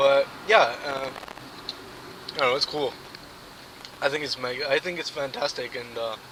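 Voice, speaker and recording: Over noticeable background noise, a man with a fairly high pitch and ordinary pitch variation speaks at a moderate pace, leaving long, frequent pauses. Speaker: vlogger. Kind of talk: casual vlog monologue. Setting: in a car. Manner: soft-spoken.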